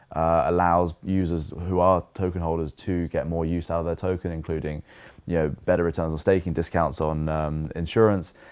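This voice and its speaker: Against a quiet background, a man with a British accent and a very deep, low pitch speaks in a flat monotone at a moderate pace. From England. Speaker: crypto insurance company representative. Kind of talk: podcast interview. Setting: at a conference. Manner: laid back.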